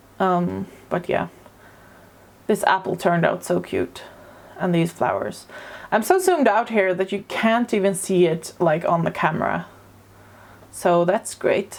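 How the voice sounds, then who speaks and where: Pausing often and at length, a woman speaks at a fairly slow pace. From Sweden. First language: Swedish. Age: 30s. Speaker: artist. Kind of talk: casual narration over drawing video. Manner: hesitant, many fillers.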